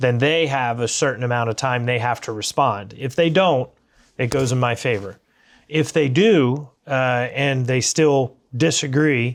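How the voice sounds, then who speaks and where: A man with a plain, everyday voice, medium pitch, and an American accent, speaking at a fairly slow pace with ordinary pitch variation against a quiet background. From USA. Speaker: business owner and economist. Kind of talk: interview conversation. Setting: library.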